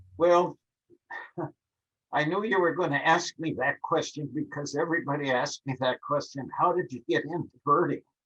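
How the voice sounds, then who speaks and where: A fairly high-pitched man's voice with an Upper Midwest accent, a bright, sharp tone and ordinary pitch variation, dry and close with no echo. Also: moderate pace. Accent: Upper Midwest American. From Minnesota, Minneapolis. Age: 80s+. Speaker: birding author and instructor. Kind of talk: interview.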